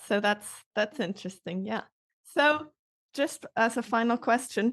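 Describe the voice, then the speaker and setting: A woman with a Swiss German accent at a moderate pace, with ordinary pitch variation and a dry, close sound with no echo. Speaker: language teacher and author. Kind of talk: interview.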